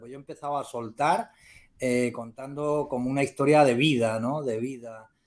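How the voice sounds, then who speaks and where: In a normal speaking voice, a man talks at a moderate pace with fairly even intonation on a very clean recording with a silent background. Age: 60s. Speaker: novelist, retired teacher. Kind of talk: interview.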